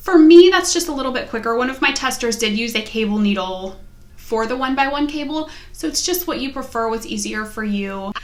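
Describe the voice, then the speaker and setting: A woman with a slight West Virginia accent talks at a high pitch and a fairly quick pace, her intonation lively and audible room echo around her. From US, West Virginia. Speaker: knitting podcaster. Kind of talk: casual vlog chat.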